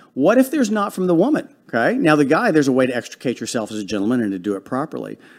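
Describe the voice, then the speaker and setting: A man at a very fast pace, animated in tone, with hardly any pauses, in a very clean recording with a silent background. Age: 50s. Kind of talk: casual chat. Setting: studio.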